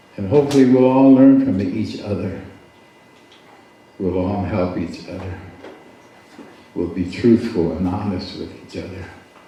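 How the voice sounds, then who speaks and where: With noticeable background noise and audible room echo, a man talks at a moderate pace, using ordinary pitch variation and long, frequent pauses. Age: 70s. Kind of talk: storytelling at a community gathering; address to gathering.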